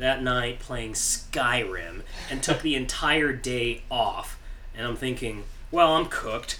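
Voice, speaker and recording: A man speaks very slowly while audible room echo hangs around his voice. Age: 30s. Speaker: musician. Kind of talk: casual chat. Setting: studio.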